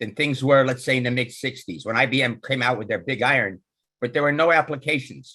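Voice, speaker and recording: A man speaks at a fairly quick pace. His voice sits at a medium pitch and has a bright, sharp tone. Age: 70s. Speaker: meetup attendee. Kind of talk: q&a discussion comment.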